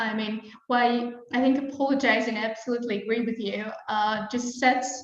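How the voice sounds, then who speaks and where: Her pitch high and her intonation monotone and flat, a woman with a non-native accent speaks in a room with audible echo. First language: not English. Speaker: webinar host, marketing executive. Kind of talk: live webinar interview. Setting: live stream.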